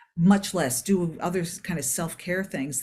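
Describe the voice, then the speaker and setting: Somewhat breathy and fairly low in pitch, a woman speaks with an American accent in a very clean recording with a silent background. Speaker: performance psychologist. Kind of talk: podcast interview.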